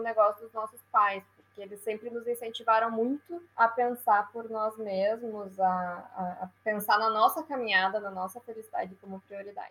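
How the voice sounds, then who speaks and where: A woman talks in a plain, everyday voice at a fairly high pitch. Her pace is moderate and her intonation fairly even. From Brazil, Rio Grande do Sul (Passo Fundo). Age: 20s. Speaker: entrepreneur. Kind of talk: interview.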